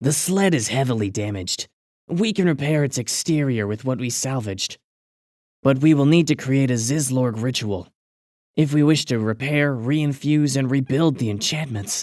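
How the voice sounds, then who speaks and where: A gravelly, put-on character voice in a very clean recording with a silent background. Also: man, medium pitch for a man, moderate pace. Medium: read story.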